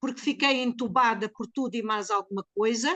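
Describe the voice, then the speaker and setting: A woman speaks at a fairly slow pace with lively intonation and a high pitch. The sound is dry and close, with no echo. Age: 70s. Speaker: geriatric care practitioner. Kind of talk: testimony. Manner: emotional.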